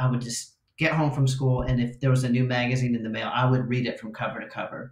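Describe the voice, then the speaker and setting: A man speaks with an American accent at a medium pitch. His voice is somewhat breathy. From Los Angeles suburbs, California. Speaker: guitarist. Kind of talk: casual chat.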